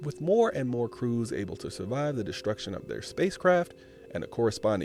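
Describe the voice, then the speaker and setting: A soft-spoken man at a moderate pace. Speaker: YouTube gaming channel host. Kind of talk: audiobook-style reading of a game's written article, delivered in an ASMR style. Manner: soft, ASMR-style delivery.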